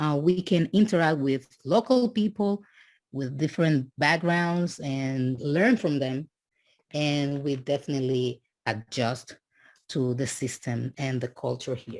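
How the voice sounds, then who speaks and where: In a very clean recording with a silent background, a woman with a strong Dominican accent talks fairly slowly in a very deep, low voice with lively intonation. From Dominican Republic. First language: Spanish. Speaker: immigrant student. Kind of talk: podcast interview. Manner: halting.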